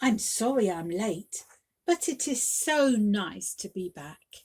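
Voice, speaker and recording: Using a put-on character voice, a woman sounds squeaky and cheerful at a medium pitch, speaking at a fairly slow pace with very wide pitch swings and big swings in loudness. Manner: cheerful, apologetic.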